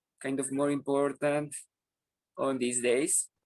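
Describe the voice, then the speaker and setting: This man, speaking with a Spanish accent, has a fairly high voice, and the sound is dry and close with no echo. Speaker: English language student. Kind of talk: class discussion. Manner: halting.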